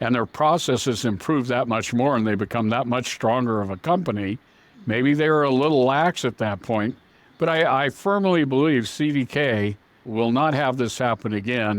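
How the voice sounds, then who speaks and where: A man speaks at a medium pitch and a moderate pace. His is an unremarkable speaking voice with ordinary pitch variation. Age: 60s. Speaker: auto parts software company founder. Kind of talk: interview. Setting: podcast.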